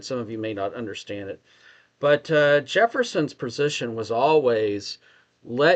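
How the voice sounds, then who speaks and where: A man talks at a fairly slow pace and medium pitch, with ordinary pitch variation. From Texas. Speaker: discussion participant. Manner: hesitant, uses fillers.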